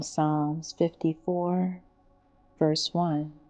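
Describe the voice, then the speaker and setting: A woman talks very slowly while music plays in the background. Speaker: meditation guide. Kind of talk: guided meditation. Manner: slow, soft-spoken.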